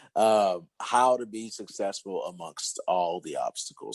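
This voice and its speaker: Recorded with a dry, close sound and no echo, a man speaks. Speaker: podcast host and fitness coach. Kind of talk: casual podcast chat. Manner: loud; halting, many fillers.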